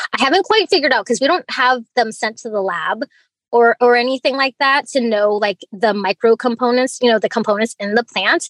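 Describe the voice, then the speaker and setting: Talking at a fairly quick pace, a woman with an American accent and a high voice sounds animated, with lively intonation, in a dry, close sound with no echo. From Alaska (Fairbanks), US. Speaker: tea grower and business founder. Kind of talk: interview.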